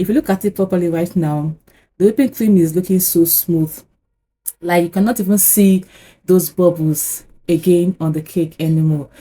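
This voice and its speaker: A woman speaks at a moderate pace in a fairly low pitch with ordinary variation. Her tone is dark and mellow, and somewhat breathy. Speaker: cake decorating YouTuber. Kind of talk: tutorial.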